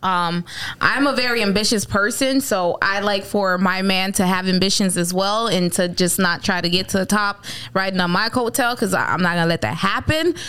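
A woman talks at a moderate pace and medium pitch with very even loudness. Noticeable background noise is present. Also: ordinary pitch variation. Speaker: podcast host. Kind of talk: casual banter podcast.

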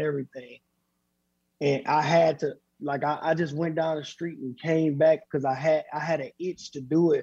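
Somewhat breathy and dark, mellow in tone, a man with a fairly high pitch speaks at a fairly quick pace in a monotone, flat intonation. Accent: American. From Flint, Michigan. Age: 30s. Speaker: professional boxer. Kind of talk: casual interview.

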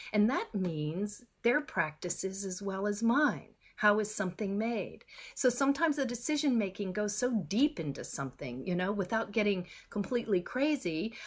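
A woman with an American accent and a medium pitch speaks at a moderate pace, somewhat breathy, with very wide pitch swings in a very clean recording with a silent background. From Texas. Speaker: skincare company founder. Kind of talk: interview.

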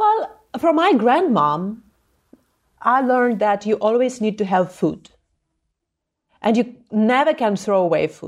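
A woman's fairly high voice in a Ukrainian accent, lively in intonation, fairly slow, with long, frequent pauses. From Ukraine, Zhytomyr. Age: 30s. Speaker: anti-corruption activist. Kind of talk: interview. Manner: impassioned.

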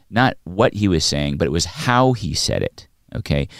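On a very clean recording with a silent background, a man talks with vocal fry. His pitch swings very widely. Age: 40s. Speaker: podcast co-host. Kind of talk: casual chat. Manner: halting.

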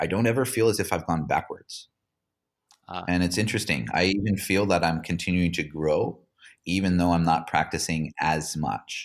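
A man with a very deep, low pitch at a fairly quick pace, on a very clean recording with a silent background. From Hawaii (Kauai). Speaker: yoga teacher and ex-pro surfer. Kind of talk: interview conversation.

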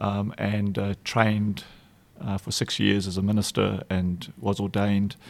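A man speaks with a South African accent at a fairly slow pace. His intonation is monotone and flat. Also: fairly low pitch for a man. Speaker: nonprofit foundation executive director. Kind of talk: interview conversation.

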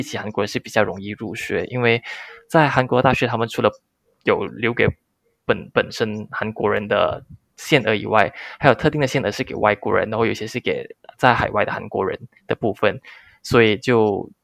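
Recorded with a dry, close sound with no echo, a man with a plain, everyday voice talks at a fairly quick pace in a medium pitch. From Malaysia. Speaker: content creator, former expat engineer. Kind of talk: interview. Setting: remote call.

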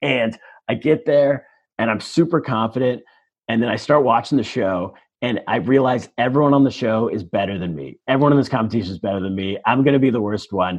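Lively intonation from a man with a plain, everyday voice, pitched in the medium range and moving at a fairly quick pace. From Northern California (El Dorado Hills, near Sacramento). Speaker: comedian. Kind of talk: casual chat.

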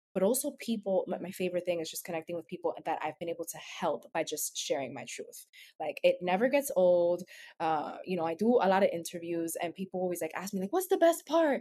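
A woman of medium pitch speaks at a fairly quick pace in a dark, mellow tone with lively intonation. The recording is very clean, with a silent background. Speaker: blogger and wellness coach. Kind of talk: casual chat.

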